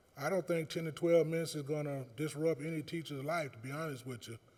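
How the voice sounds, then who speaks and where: A man speaks fairly quickly in an unremarkable speaking voice. His pitch is fairly high and varies in an ordinary way. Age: 60s. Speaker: insurance sales representative and retired teacher. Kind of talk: public comment at board meeting. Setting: school board meeting.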